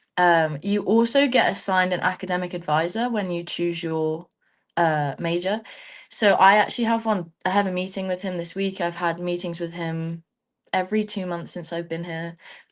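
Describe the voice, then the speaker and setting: A woman speaks at a moderate pace with fairly even intonation. The background is quiet. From England. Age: young. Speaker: student athlete, rugby player. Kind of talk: webinar interview. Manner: casual, chatty.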